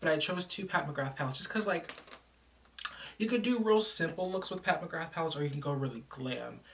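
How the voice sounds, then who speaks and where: Speech at a very fast pace sits over noticeable background noise. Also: woman. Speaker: beauty vlogger. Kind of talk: casual vlog talk.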